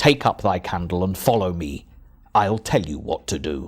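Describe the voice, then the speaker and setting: A man speaks in a put-on character voice at a moderate pace. His pitch is very deep and low. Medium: read story. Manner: stern.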